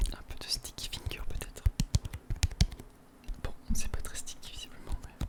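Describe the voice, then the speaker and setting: A man whispering at a moderate pace with long, frequent pauses, over noticeable background noise. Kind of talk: ASMR multi-trigger talk to camera. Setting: close to the microphone at home. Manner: soft-spoken, whispering.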